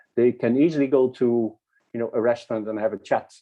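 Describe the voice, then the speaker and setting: A man talks with a Dutch accent. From Netherlands. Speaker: academic speaker. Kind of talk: conference talk. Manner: halting.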